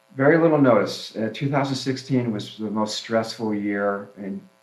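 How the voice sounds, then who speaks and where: Audible room echo surrounds a man with a fairly low pitch, speaking at a moderate pace with ordinary pitch variation. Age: 60s. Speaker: flower farmer. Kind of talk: casual chat. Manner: halting.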